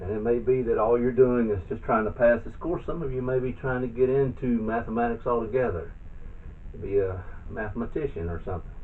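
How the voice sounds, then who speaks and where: Amid noticeable background noise and audible room echo, a man speaks at a fairly quick pace with ordinary pitch variation. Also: medium pitch for a man. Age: 60s. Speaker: math tutor. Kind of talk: tutorial. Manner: halting.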